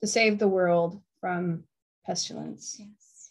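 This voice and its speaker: A woman with an American accent speaks at a fairly slow pace with fairly even intonation. It is a normal speaking voice. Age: 40s. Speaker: podcast host and writer. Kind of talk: casual chat.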